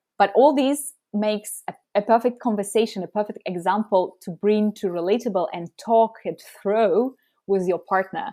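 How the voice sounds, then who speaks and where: With a Russian accent, a woman speaks at a moderate pace and medium pitch, her tone dark and mellow. Pitch variation is ordinary, and the sound is dry and close with no echo. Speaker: app co-founder. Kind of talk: podcast interview.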